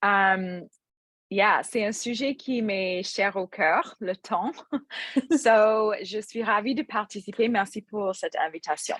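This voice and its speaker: A woman with an English Canadian accent speaks at a very slow pace in a fairly high pitch, her pitch varying in an ordinary way, on a very clean recording with a silent background and a dry, close sound with no echo. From English-speaking Canada. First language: English (speaking French). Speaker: restaurant entrepreneur and yoga teacher. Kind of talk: podcast interview. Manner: hesitant, many fillers.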